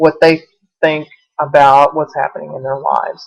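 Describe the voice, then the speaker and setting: Pitched fairly low, a woman speaks with a Southern US accent. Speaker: college instructor. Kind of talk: online lecture to students. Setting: webcam recording.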